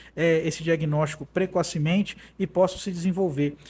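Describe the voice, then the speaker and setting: Recorded very cleanly with a silent background, a man speaks at a moderate pace and high pitch. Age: 30s. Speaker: judge. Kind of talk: interview. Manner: hesitant, many fillers.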